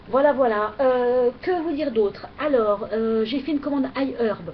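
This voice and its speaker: The intonation is lively, and noticeable noise sits in the background. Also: woman. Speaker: beauty vlogger. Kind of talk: product review vlog. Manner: hesitant, many fillers.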